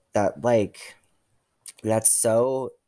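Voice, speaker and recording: A man's dark, mellow voice at a very slow pace, in a very clean recording with a silent background. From San Francisco Bay Area. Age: young. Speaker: spoken word poet and student. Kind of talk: podcast interview answer.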